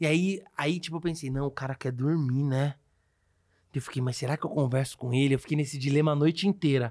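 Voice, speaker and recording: Against a quiet background, a man talks at a very fast pace in an animated tone. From Brazil. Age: 30s. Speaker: podcast host, comedian. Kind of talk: casual chat. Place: studio. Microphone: studio mic.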